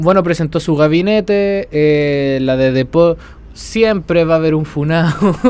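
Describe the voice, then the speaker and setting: A man talks at a fairly slow pace with a fairly high pitch. His loudness stays very even, and his pitch varies in an ordinary way. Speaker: podcast host. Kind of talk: casual chat. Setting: at the beach.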